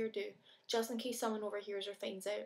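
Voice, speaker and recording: A woman with a Scottish accent, fairly high pitch, monotone, flat intonation and a very fast pace. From Scotland. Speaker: video blogger. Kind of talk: reading aloud own letter.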